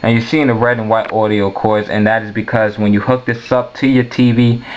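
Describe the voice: A man's fairly low, fairly quick voice with little pitch movement over faint background noise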